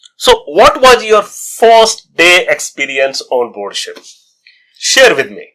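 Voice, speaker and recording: Talking at a very slow pace, a man shows big swings in loudness. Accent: Indian. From India. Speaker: travel vlogger, cruise crew. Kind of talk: interview.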